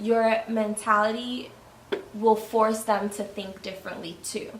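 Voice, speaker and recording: A woman with an American accent speaks very slowly at a fairly high pitch. Noticeable background noise and audible room echo fill the recording. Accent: New York accent, sometimes Spanish. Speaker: YouTuber. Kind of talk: casual chat.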